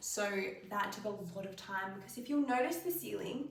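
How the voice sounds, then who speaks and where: A woman's speech comes with audible room echo and noticeable background noise. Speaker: home renovation vlogger. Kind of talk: casual house tour vlog.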